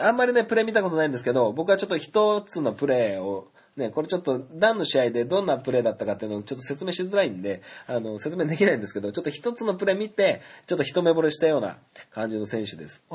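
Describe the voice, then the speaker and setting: A man rushes along at a very fast pace, his fairly high pitch making very wide swings. His loudness swings a lot too, and his voice is somewhat breathy. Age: 30s. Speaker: podcast host. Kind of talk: solo casual talk. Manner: frequent filler hesitations.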